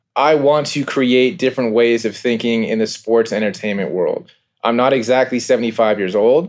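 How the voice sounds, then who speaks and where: A man with an ordinary speaking voice talks at a moderate pace, his medium pitch showing ordinary pitch variation. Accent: American. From California. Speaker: minor league baseball team co-owner. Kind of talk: interview.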